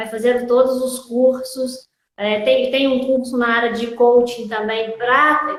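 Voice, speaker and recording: A woman's high-pitched voice with a Minas Gerais accent, fairly slow and fairly even in intonation, with audible room echo. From Minas Gerais, Brazil. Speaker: logistics teacher and consultant. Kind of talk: interview.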